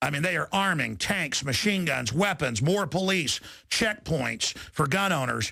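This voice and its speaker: A man speaks with a fairly high pitch, a bright, sharp tone and vocal fry. His intonation is lively and his loudness very even. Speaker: radio talk show host. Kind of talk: talk radio interview.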